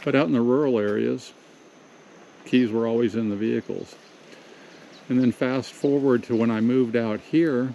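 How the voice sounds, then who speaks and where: A man with an American accent, medium in pitch, at a moderate pace, with fairly even intonation and long, frequent pauses. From Southern California. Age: 60s. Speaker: vlogger. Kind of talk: casual monologue. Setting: pacing around while talking. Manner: halting.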